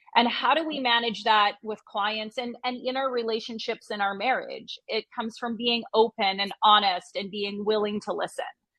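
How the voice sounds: A woman with a fairly high pitch and a bright, sharp tone, at a moderate pace with few pauses. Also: fairly even intonation.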